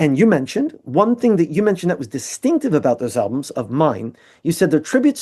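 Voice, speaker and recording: With a New Jersey accent, a man talks at a fairly quick pace in a high pitch, his dark, mellow tone making very wide pitch swings over a quiet background. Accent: American (New Jersey). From US, New Jersey. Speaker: musician and artist. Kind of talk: casual chat. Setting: video call. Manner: fast.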